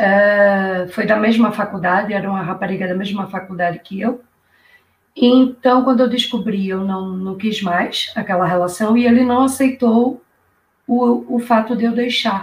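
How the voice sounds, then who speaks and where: A woman speaks fairly slowly at a medium pitch with ordinary pitch variation. Hers is an unremarkable speaking voice. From Brazil, Recife, Pernambuco. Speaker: YouTuber guest, public-sector worker. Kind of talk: casual live-stream interview. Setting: online live stream. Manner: lively, upbeat.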